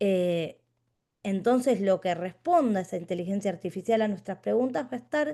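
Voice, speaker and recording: Speaking at a fairly slow pace in a Rioplatense accent, a woman with a medium pitch and a dark, mellow tone uses lively intonation over a quiet background. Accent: Rioplatense Spanish (porteño). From Buenos Aires, Argentina. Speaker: philosophy teacher. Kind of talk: lecture. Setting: video call.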